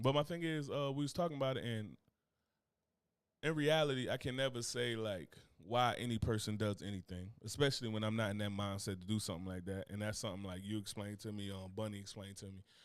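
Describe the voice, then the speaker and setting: A man's fairly low-pitched voice, very fast pace and ordinary pitch variation. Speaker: podcast host. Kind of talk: casual chat.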